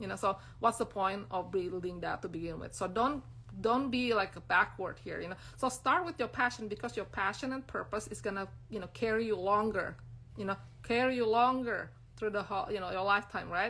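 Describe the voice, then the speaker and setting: A woman talks at a fairly quick pace with an Indonesian accent, her medium-pitched voice showing ordinary pitch variation. Her tone is bright and sharp, with some vocal fry. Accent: non-native English, Indonesian. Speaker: brand designer and business coach. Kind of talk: live-stream talk to followers. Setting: Instagram live stream. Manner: casual, many fillers.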